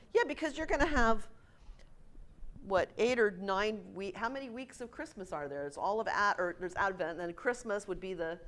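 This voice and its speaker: A medium-pitched woman with very wide pitch swings and big swings in loudness. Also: moderate pace. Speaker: music director. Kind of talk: lecture. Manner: casual, conversational. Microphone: no microphone, room recording.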